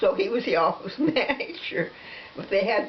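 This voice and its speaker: There is noticeable background noise as a woman talks with an American accent. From Nebraska. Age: 80s+. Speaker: interviewee. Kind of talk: casual chat. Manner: halting.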